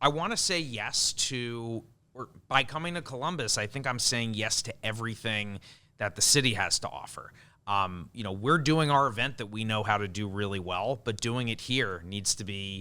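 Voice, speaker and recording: Here a man talks in a Long Island accent at a moderate pace. His medium-pitched voice has a bright, sharp tone and ordinary pitch variation. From US Northeast (Long Island, New York). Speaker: event production executive. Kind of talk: podcast interview.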